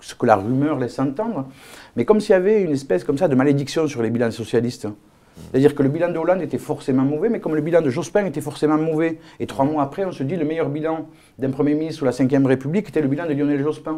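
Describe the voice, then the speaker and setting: Very fast in pace, a man talks with a dark, mellow tone, a fairly high pitch and ordinary pitch variation. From Algeria, then France from age 5. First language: not French (speaking French). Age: 50s. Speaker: politician. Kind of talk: political interview. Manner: hesitant, many fillers.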